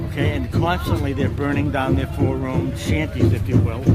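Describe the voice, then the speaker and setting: A man speaks with audible room echo. Music plays in the background. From Canada (Mohawk). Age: 70s. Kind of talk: casual interview. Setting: outdoors at a powwow.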